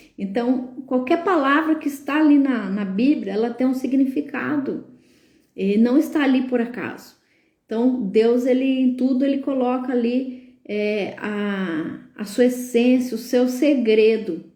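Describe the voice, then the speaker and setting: Her voice is high-pitched with a dark, mellow tone, moving at a fairly slow pace with ordinary pitch variation as audible room echo surrounds the woman. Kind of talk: live stream talk, sermon-like. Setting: live stream. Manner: filler-heavy, hesitant.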